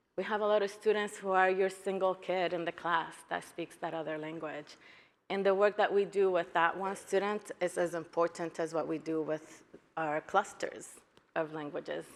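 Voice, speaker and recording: Speaking at a moderate pace in a Spanish accent, a woman uses a fairly low pitch. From Guatemala. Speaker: educator, keynote speaker. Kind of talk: conference keynote talk.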